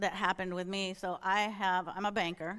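A woman with an American accent uses a normal speaking voice at a medium pitch and moderate pace. The recording is very clean, with a silent background. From US Midwest, Northeast Minneapolis. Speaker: church elder and bank manager. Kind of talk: sermon. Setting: church.

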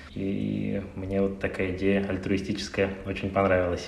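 A man's fairly low voice carries audible room echo, with noticeable background noise behind it. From Russia, Saint Petersburg. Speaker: ophthalmologist. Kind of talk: interview.

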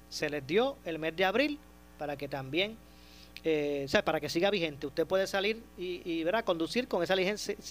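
A man with a high pitch speaks at a moderate pace. His intonation is lively. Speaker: radio host. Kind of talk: radio talk show with callers.

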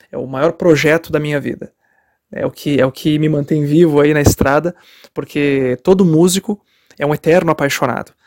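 Using a normal speaking voice, a man talks at a moderate pace and fairly high pitch with fairly even intonation. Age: 30s. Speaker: rock musician. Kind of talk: interview answers. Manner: many fillers and repetitions.

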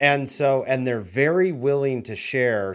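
A man with an American accent speaks at a moderate pace in a medium pitch, with ordinary pitch variation, in an unremarkable speaking voice. The recording is very clean with a silent background. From Washington State, Tri-Cities area. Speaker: real estate team leader. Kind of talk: interview.

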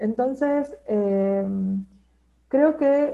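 A woman speaks in a high pitch with ordinary pitch variation. Her tone is dark and mellow. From Argentina, Neuquén. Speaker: postpartum doula and therapeutic companion. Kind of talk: interview.

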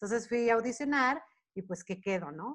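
A woman is speaking. Her pace is fairly quick. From Monterrey, northern Mexico. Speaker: choreographer, dancer and actress. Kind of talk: casual interview. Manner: talkative, fast-flowing.

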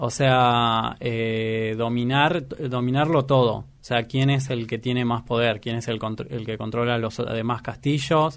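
Speaking at a fairly slow pace with hardly any pauses, a man holds a medium pitch and fairly even intonation. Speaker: film enthusiast, cook. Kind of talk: interview. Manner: halting, many fillers.

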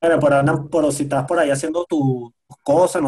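A man with a Venezuelan accent speaks at a fairly quick pace. His pitch is fairly high, with ordinary pitch variation. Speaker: sound engineer and musician. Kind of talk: casual chat.

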